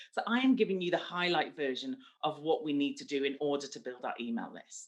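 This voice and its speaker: At a fairly quick pace, a woman speaks in a very deep, low pitch with very wide pitch swings and big swings in loudness. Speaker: marketing speaker and podcast host. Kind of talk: online presentation. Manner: fast.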